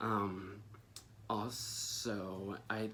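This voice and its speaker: Noticeable background noise surrounds a man who is soft-spoken. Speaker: plant care youtuber. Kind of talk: casual tutorial. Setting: at home. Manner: hesitant, many fillers.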